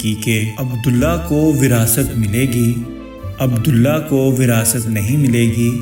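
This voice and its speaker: A man talks with a medium pitch. Background music accompanies him. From Pakistan. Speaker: voice-over artist. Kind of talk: moral story narration.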